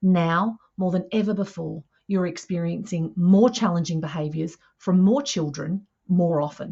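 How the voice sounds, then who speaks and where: A woman with an Australian accent talks at a fairly low pitch and a fairly slow pace. Her voice is somewhat breathy, with ordinary pitch variation. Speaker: early childhood mental health educator. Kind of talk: professional development webinar presentation.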